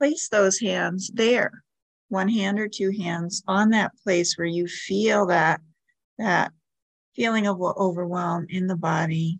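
A woman speaks at a very slow pace. Her tone is gentle and her pitch medium. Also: ordinary pitch variation. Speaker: meditation guide. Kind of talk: guided meditation. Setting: podcast recording. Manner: slow, calm, soothing; gentle, instructive, with pauses.

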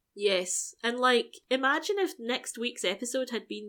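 In a very clean recording with a silent background, a woman with a bright, sharp tone and a fairly high pitch speaks at a moderate pace. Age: 40s. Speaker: podcast co-host. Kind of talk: casual chat.

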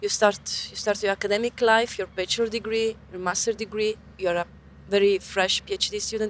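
Delivery moves at a moderate tempo. An Italian accent colors the speech. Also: woman, fairly high pitch for a woman. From Italy. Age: young. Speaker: researcher and open science advocate. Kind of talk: interview. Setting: outdoors by a river. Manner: animated.

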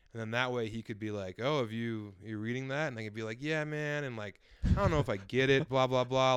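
Fairly quick delivery in an ordinary speaking voice. The pitch varies in an ordinary way. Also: man. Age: 30s. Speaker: comedian and author. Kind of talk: casual chat.

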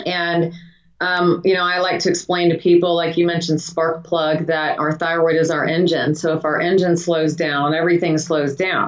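Her pitch is fairly low for a woman, and her intonation is monotone and flat. The pace is moderate. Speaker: doctor, hormone and wellness clinic owner. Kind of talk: interview, explaining medical topic.

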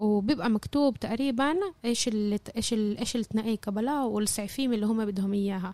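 A woman's fairly high-pitched voice with a dark, mellow tone, ordinary pitch variation, very even loudness, and hardly any pauses. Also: moderate pace. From Jaffa. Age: 20s. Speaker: university student. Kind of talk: interview.

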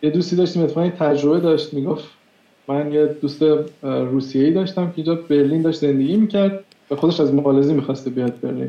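A very fast pace from a man, intonation fairly even. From Iran. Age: 30s. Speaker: software engineer. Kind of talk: interview.

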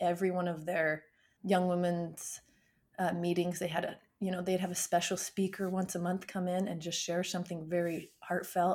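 A woman's flat, monotone delivery at a moderate pace, in a very clean recording with a silent background. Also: fairly low pitch for a woman. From southern Utah, small town. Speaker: marathon runner. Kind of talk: interview about her life.

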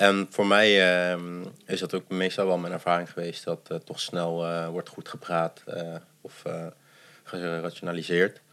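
The voice has a bright, sharp tone and monotone, flat intonation, moving at a fairly slow pace with long, frequent pauses and big swings in loudness. The recording is very clean, with a silent background. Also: man, very deep, low pitch for a man. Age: 20s. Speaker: adoptee and theatre performer. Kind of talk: casual interview. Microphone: too far from the mic.

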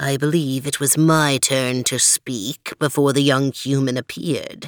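A put-on character voice, growling, low-to-middle in pitch, at a moderate pace. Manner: imperious, growling.

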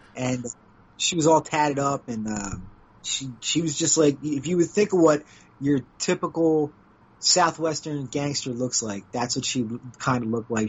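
Against noticeable background noise, a man speaks with lively intonation at a fairly high pitch. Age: 40s. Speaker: podcast host and former wrestler. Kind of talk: casual interview chat. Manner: halting, repetitive phrasing.

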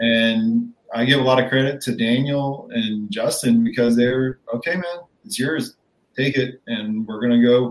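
A man with an American accent talks in a normal speaking voice at medium pitch, with fairly even intonation and a moderate pace. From Rochester, New York. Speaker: kayak tournament angler. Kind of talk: casual chat.

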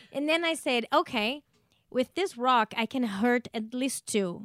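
A woman with a Portuguese accent, high-pitched with a bright, sharp tone and lively intonation, at a fairly slow pace, on a very clean recording with a silent background and a dry, close sound with no echo. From Brazil. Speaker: stand-up comedian. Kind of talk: casual interview, storytelling.

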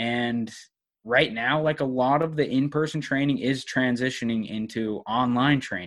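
A man's medium-pitched voice, a plain, everyday voice, at a moderate pace with ordinary pitch variation and a quiet background. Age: 20s. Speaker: online fitness coach. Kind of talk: casual interview chat.

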